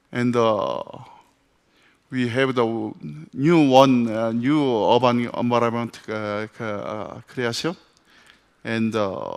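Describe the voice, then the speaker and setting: A man with a non-native accent speaks at a medium pitch with fairly even intonation, at a very slow pace with long, frequent pauses. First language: French. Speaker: architect. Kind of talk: conference presentation. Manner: halting.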